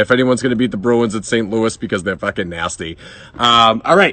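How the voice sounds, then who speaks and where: With a Boston accent, a man speaks in an animated tone at a fairly low pitch. Noticeable background noise runs behind him. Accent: Boston accent, exaggerated. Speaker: beer reviewer. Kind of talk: casual vlog monologue.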